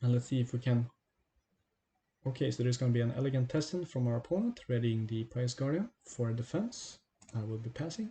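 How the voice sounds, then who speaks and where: Somewhat breathy and dark, mellow in tone, a man with medium pitch speaks at a fairly quick pace with ordinary pitch variation. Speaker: card game streamer and tutor. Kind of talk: gameplay tutorial. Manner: fast.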